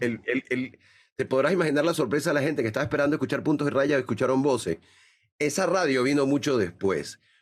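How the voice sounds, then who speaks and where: The recording is very clean, with a silent background. A man talks at a very fast pace in a fairly high pitch, his loudness very even. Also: ordinary pitch variation. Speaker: radio announcer and university lecturer. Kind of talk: interview answer.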